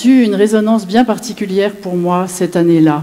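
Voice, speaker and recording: A woman's voice with noticeable background noise. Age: 60s. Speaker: widow giving a faith testimony. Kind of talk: testimony.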